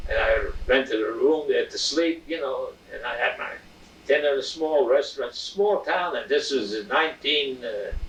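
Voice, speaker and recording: Noticeable background noise is present throughout. A man talks at a moderate pace over it. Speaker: engraver. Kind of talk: interview answer. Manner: hesitant, halting.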